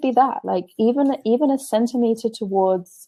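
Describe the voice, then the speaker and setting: A woman with an English accent speaks at a fairly high pitch, her dark, mellow tone carrying lively intonation. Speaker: spiritual teacher and blogger. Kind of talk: interview. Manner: halting, many repetitions.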